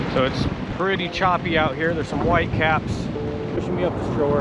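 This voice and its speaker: A man at a fairly quick pace with ordinary pitch variation, audible room echo and music in the background. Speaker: solo river canoeist vlogger. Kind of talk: outdoor vlog narration. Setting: outdoors on a river in a canoe. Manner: loud, raised over wind.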